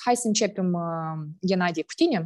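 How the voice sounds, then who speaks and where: The woman's intonation is lively. She takes a fairly slow pace. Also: quiet background. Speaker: foundation executive director, session moderator; session moderator. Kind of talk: moderating Q&A, semi-formal. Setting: video call. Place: office. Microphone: earbuds.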